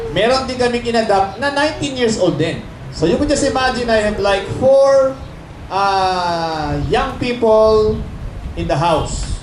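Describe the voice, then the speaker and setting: Loud and high-pitched, a man speaks at a fairly slow pace with lively intonation amid noticeable background noise and audible room echo. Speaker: church speaker. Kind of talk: sermon.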